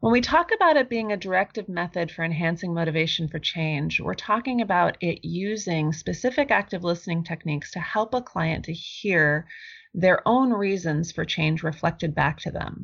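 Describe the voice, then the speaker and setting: A woman speaks at a moderate pace with hardly any pauses, in a normal speaking voice. Her pitch is fairly low and her intonation lively. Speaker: clinical social worker. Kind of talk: interview with role-play.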